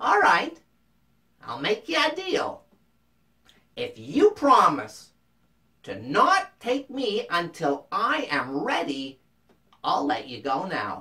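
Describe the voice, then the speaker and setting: It's a put-on character voice with a fairly high pitch. The pace is very slow, with long, frequent pauses. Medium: read story. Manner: sweetly wheedling.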